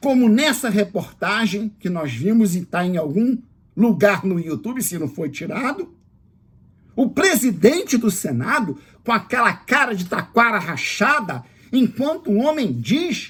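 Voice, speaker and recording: A man with a high pitch, very wide pitch swings and a fairly slow pace. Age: 60s. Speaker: political commentator. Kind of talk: political monologue. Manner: indignant.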